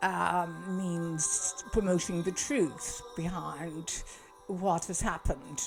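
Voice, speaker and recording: With music in the background, a woman speaks in a Kerry accent with a fairly low pitch. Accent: Irish (Kerry). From Kerry, south-west Ireland. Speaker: doctor. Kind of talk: casual talk to camera. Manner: hesitant, many fillers.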